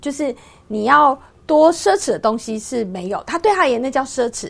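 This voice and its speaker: A woman with a Taiwanese accent, high-pitched, at a fairly quick pace with very wide pitch swings. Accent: Taiwanese Mandarin. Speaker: businesswoman and author. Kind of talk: interview. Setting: radio studio.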